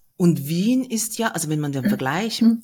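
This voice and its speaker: A calm, somewhat breathy woman's voice at a moderate pace. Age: 50s. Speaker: podcast host. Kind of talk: interview.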